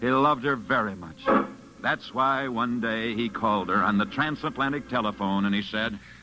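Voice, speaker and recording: A man's medium-pitched voice at a moderate pace, with ordinary pitch variation and music in the background. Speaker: radio sports reporter. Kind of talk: vintage radio sports program narration.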